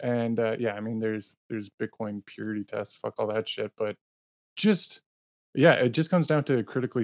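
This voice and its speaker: A man's plain, everyday voice at medium pitch, with a Canadian accent and a fairly quick pace. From Canada. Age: 30s. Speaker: podcast host, Bitcoin advocate. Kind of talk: casual chat.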